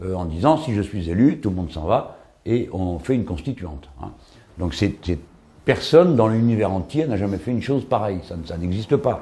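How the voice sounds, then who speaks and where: Somewhat breathy, with a dark, mellow tone, the voice moves at a moderate pace through very wide pitch swings. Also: man, fairly low pitch for a man. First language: French (speaking Spanish). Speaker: political commentator. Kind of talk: documentary interview. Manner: hesitant, with fillers.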